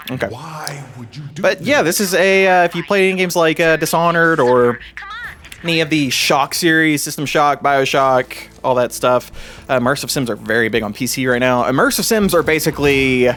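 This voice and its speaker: A man with a Kentucky accent talks at a fairly quick pace in a fairly high pitch with lively intonation. Noticeable background noise runs underneath. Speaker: gaming YouTuber. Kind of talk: gameplay commentary. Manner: casual, halting with many fillers.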